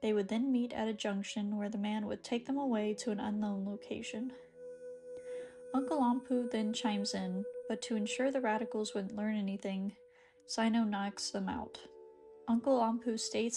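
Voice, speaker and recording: Monotone, flat delivery at a moderate pace, with music in the background. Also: woman. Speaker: YouTuber reading a game story recap. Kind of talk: recap reading of game story, ASMR-style. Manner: soothing, calm.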